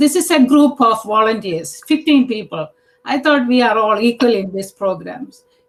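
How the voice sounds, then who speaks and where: At a moderate pace, a woman speaks with a fairly high pitch and lively intonation. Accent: Indian. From India. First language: Indian language, not English. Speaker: task force member. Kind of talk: public meeting discussion. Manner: halting, many fillers.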